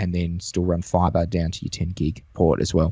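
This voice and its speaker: A man with an Australian accent, a very deep, low pitch and a dark, mellow tone, talking at a fairly quick pace against a quiet background. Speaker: network engineer. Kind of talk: casual tech discussion.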